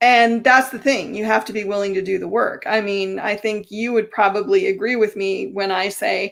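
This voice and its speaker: This woman has a plain, everyday voice at a medium pitch, talking at a moderate pace with ordinary pitch variation and hardly any pauses. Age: 50s. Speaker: talk show host. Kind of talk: interview.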